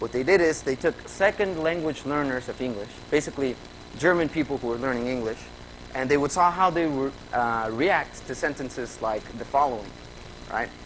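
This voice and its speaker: Noticeable background noise sits behind a man with a Spanish accent. His pitch is fairly high, his pace fairly quick, and his pitch variation ordinary. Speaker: graduate student presenter. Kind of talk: conference presentation. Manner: conversational with fillers.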